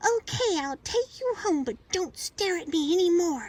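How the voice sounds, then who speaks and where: An extremely high, squeaky put-on character voice delivers its lines at a moderate pace. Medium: read story. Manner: playful.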